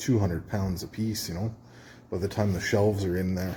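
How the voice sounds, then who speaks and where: The voice moves at a fairly quick pace. It sounds somewhat breathy. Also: man. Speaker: metal fabricator and video maker. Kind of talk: workshop tutorial. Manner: casual, halting with fillers.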